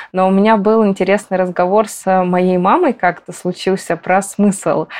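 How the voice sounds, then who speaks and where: This woman has an unremarkable speaking voice pitched in the medium range. She talks at a moderate pace. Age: 20s. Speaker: psychologist. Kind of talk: casual chat.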